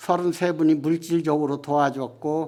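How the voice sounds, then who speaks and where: A dark, mellow tone unfolds at a very slow pace. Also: man. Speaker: missionary reporting on an acupuncture mission trip. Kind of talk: church testimony / mission report to congregation.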